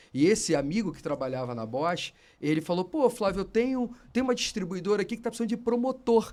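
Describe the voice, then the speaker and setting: A man's high-pitched voice at a very fast pace, with very wide pitch swings and big swings in loudness. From Brazil, Rio de Janeiro. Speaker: automotive industry executive. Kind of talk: podcast interview. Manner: animated.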